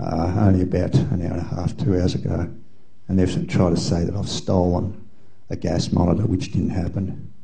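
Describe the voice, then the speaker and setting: Speaking at a fairly quick pace with an Australian accent, a man's very deep, low voice carries audible room echo. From Australia (Melbourne). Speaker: audience member at symposium. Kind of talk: audience comment in open discussion.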